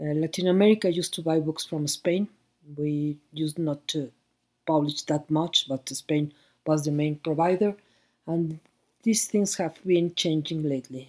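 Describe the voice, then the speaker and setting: With a Mexican accent, a woman speaks at a moderate pace in a very deep, low voice with fairly even intonation. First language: Spanish. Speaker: book fair director. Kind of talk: conference talk. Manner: halting.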